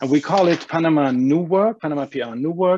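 With a German accent, a man talks at a moderate pace and ordinary pitch variation. The background is quiet. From Germany. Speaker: agency owner; panelist. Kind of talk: panel discussion. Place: home room. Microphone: earbuds.

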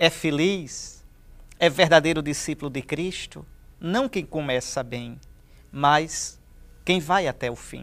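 Very slow speech with long, frequent pauses, big swings in loudness, a warm tone and a Brazilian accent. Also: man, fairly high pitch for a man, ordinary pitch variation. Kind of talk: sermon, scripture meditation. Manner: earnest, warm and pastoral; measured, didactic, emphatic on key phrases. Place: studio.

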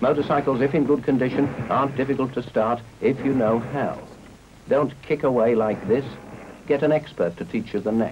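Against noticeable background noise, a British accent comes through with very even loudness and fairly even intonation. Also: man, medium pitch for a man, moderate pace. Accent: 1950s British received pronunciation-style. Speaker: film narrator. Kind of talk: 1950s public information film narration, scripted and formal. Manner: measured, crisp, earnest instructional tone, clipped mid-century delivery.

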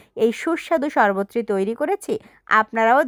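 A woman's fairly high voice with very wide pitch swings, dry and close with no echo, on a very clean recording with a silent background. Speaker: cooking video creator. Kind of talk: cooking tutorial. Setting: outdoors.

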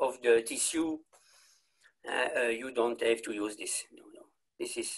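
A man talks over a quiet background. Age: 60s. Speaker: clinical embryologist; presenter. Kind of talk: lecture. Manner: halting. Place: home room. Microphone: webcam.

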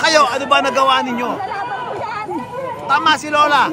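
Loud background noise accompanies a man speaking at a moderate pace, the sound dry with no echo. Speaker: political commentary vlogger. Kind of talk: political commentary to camera. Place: street.

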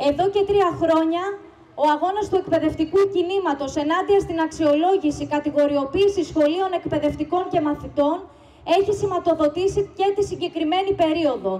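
Extremely high-pitched woman's voice at a moderate pace, very even in loudness, fairly even in intonation, with light background noise. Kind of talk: rally speech. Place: street. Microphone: podium.

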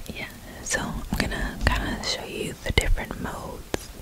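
A woman's voice in a dry sound with no echo, against loud background noise. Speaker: ASMR creator. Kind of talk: soft-spoken tutorial chat. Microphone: studio mic.

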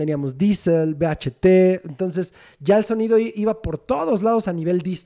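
A man in a central Mexican accent, with a dark, mellow tone and ordinary pitch variation, in a very clean recording with a silent background. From Mexico City. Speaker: rock band guitarist. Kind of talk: casual interview.

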